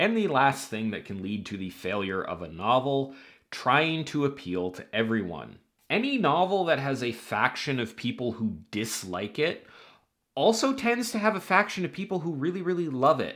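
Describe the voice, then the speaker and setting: A fairly high male voice with very wide pitch swings. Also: moderate pace. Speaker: writing advice youtuber. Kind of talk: scripted talk to camera.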